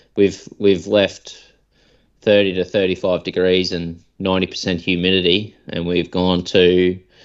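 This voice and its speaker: Very deep and low, a man's voice comes at a fairly slow pace in a monotone, flat delivery with an Australian accent. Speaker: podcast co-host. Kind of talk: casual chat.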